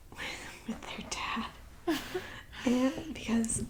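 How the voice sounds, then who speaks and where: Soft-spoken and gentle in tone, a woman with a high pitch talks very slowly over noticeable background noise. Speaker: ASMR creator / channel host. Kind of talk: ASMR whispered ramble to camera. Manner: soft-spoken, gentle, conversational.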